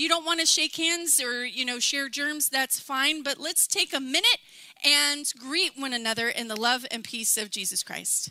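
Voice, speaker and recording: Over noticeable background noise, a woman uses a raised, projected voice at a high pitch and a moderate pace, with ordinary pitch variation. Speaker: pastor. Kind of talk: church welcome announcements. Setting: church service with congregation.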